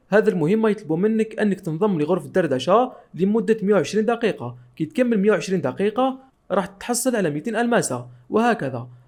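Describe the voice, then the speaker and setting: With an Algerian accent, a man talks at a moderate pace in a high voice with lively intonation. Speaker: tech tutorial youtuber. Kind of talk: tutorial.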